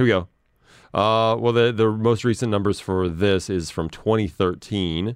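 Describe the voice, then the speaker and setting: A plain, everyday voice moves at a moderate pace. Its intonation stays fairly even. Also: man, fairly low pitch for a man. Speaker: podcast host. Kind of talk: casual banter. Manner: joking, teasing.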